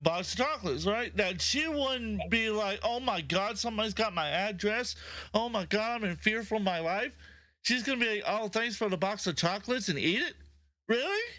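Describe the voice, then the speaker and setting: A man speaks in a raised, projected voice with a high pitch. His tone is bright, sharp and animated. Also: ordinary pitch variation, moderate pace. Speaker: podcast co-host. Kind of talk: casual chat. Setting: livestream. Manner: stuttering at times.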